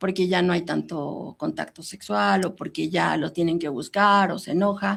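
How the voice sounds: A woman's voice with vocal fry and a slightly husky edge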